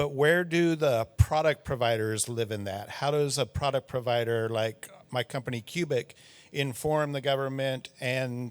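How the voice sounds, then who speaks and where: A plain, everyday voice from a man with an American accent, medium in pitch with ordinary pitch variation, at a fairly slow pace on a very clean recording with a silent background. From United States. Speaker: audience member, traffic industry professional. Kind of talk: audience question.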